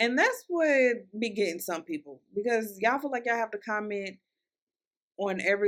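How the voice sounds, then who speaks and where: A woman talks in a Southern US accent at a fairly slow pace, with ordinary pitch variation. The recording is very clean, with a silent background. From Louisville, Kentucky. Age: 20s. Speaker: podcast host. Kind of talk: solo podcast monologue. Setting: recorded for YouTube and Spotify. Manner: casual, chatty, warm.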